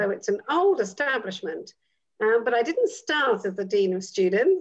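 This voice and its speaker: With a British accent, a woman talks at a moderate pace and a high pitch, her voice making very wide pitch swings over a quiet background. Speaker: midwife, actress and educator; dean of student life. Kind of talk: interview answer. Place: home room. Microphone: video call.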